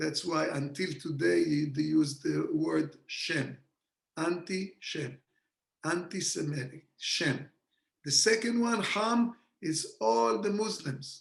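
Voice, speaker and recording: In an Israeli accent, a man speaks at a very slow pace with a fairly high pitch and lively intonation. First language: Hebrew. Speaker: kabbalah teacher. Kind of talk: lecture. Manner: animated.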